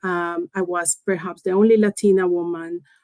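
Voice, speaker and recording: A woman with a Spanish accent speaks at a fairly slow pace. The recording is very clean with a silent background, dry and close with no echo. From Colombia. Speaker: engineering executive. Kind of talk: interview. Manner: halting.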